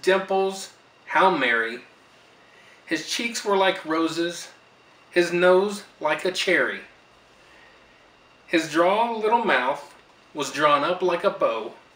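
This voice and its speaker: In a room with audible echo, a high-pitched man speaks at a very slow pace with long, frequent pauses and ordinary pitch variation. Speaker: grandfather reading to granddaughter. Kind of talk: storybook reading aloud. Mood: warm, gentle. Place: home room. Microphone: camera far.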